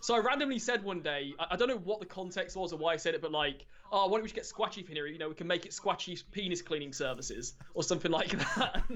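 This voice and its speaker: Noticeable background noise sits behind a man with an English accent. He talks at a very fast pace, high in pitch, with lively intonation. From England. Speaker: Magic the Gathering streamer. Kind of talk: casual interview chat.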